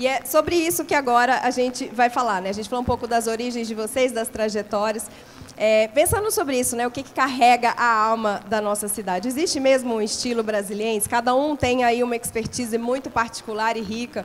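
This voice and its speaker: Her high pitch shows ordinary variation as the woman speaks at a fairly quick pace with hardly any pauses. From Brasília, Brazil. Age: 40s. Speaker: panel moderator. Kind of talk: panel discussion.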